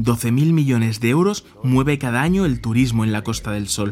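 A man talks with a Madrid accent. His pitch sits in the medium range. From Spain, Madrid. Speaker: journalist and podcast host. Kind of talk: scripted narration.

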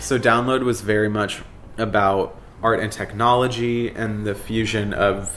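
With a fairly low pitch and fairly even intonation, a man speaks in an unremarkable speaking voice. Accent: American. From South Florida (Boca Raton). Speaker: queer nightlife party organizer. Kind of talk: documentary interview.

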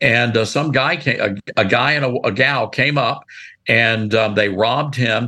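A man in a Memphis accent, medium-pitched, with very even loudness, fairly even intonation, and a fairly slow pace. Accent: Southern US (Memphis). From US South, Memphis, Tennessee. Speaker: radio and TV host. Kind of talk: casual interview chat. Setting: studio.

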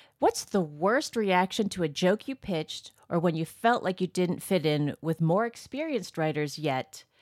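In an ordinary speaking voice, a woman with a fairly low pitch talks at a moderate pace with lively intonation and hardly any pauses, in a very clean recording with a silent background and a dry, close sound with no echo. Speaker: podcast producer. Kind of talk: casual chat.

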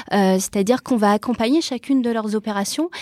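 In a dry, close sound with no echo, a woman with a fairly high pitch and a dark, mellow tone speaks with ordinary pitch variation. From Brazil, then Toulouse from age 12. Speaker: real estate entrepreneur, property management founder. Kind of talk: interview.

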